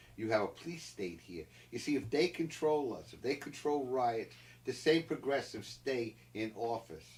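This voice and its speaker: A man with an American accent speaks at a moderate pace and medium pitch, his voice somewhat breathy, his intonation lively, and his loudness swinging widely. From Philadelphia area, US. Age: 70s. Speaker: political commentator. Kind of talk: interview. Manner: animated, impassioned; halting, repeated words.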